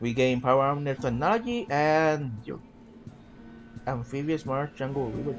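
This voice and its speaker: There is music behind the speaker. Pitch varies in an ordinary way. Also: man. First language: Spanish. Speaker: gaming YouTuber. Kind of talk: gameplay commentary with reading of in-game event text. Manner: casual, self-interrupting.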